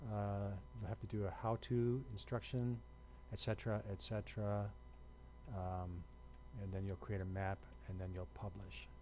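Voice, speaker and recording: Somewhat breathy, a man speaks at a fairly low pitch. His pace is moderate and his pitch variation ordinary. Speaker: university instructor. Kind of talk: lecture. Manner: hesitant with many fillers.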